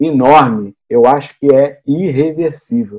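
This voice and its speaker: The sound is dry and close, with no echo. A man speaks in a fairly high pitch with a dark, mellow tone. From Rio de Janeiro, Brazil. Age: 50s. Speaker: city councillor and candidate. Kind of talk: interview.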